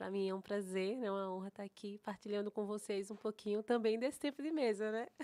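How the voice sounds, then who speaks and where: A woman speaks in a northeastern Brazilian accent at a medium pitch and a moderate pace. Her tone is dark and mellow, and the recording is very clean with a silent background. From Recife, Brazilian Northeast. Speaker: pastor and mentor. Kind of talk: interview chat.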